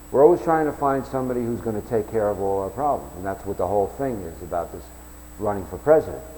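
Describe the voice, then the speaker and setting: Noticeable background noise sits behind the recording. A man speaks at medium pitch with an American accent. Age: 60s. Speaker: self-declared presidential candidate. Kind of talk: campaign announcement monologue. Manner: halting, with repeated restarts.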